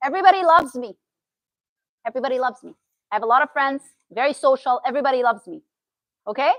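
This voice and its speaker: A woman with a Syrian accent speaks in a high, bright, sharp voice, raised and projected, with lively intonation and an animated tone. She talks at a very fast pace yet takes long, frequent pauses. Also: big swings in loudness, dry, close sound with no echo. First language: Arabic. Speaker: therapist. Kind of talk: talk to an audience.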